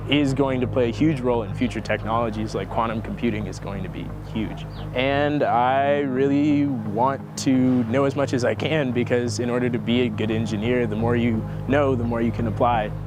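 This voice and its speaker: The talking moves at a fairly quick pace over noticeable background noise, with audible echo from the room. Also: man. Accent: American. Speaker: engineering student, research intern. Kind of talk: interview testimony. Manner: casual, conversational.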